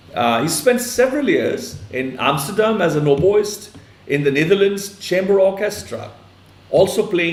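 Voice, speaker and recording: A man with a Punjabi accent speaks with lively intonation amid noticeable background noise and audible room echo. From India, Punjab. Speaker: online interview host. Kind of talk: interview introduction. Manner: halting, many fillers.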